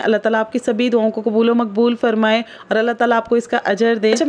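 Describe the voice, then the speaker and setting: Over noticeable background noise, a woman talks in a high-pitched voice. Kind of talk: family vlog narration. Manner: chatty, casual.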